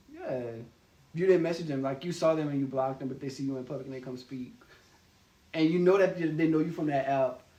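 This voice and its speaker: A man speaks very fast at a fairly high pitch with fairly even intonation, yet with long, frequent pauses. Audible room echo surrounds him. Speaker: video co-host. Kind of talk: casual chat. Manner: assertive, passionate.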